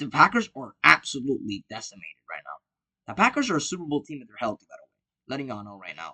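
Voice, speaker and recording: Bright and sharp in tone, a man's fairly high voice races along at a very fast pace in a dry, close sound with no echo. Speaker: sports prediction youtuber. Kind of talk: casual monologue. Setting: different room than usual.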